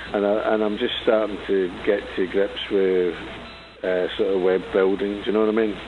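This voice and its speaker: A man with a fairly low pitch speaks in a monotone, flat way at a moderate pace, with noticeable background noise and audible room echo. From Scotland, Glasgow. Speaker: punk musician. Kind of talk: radio interview. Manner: halting.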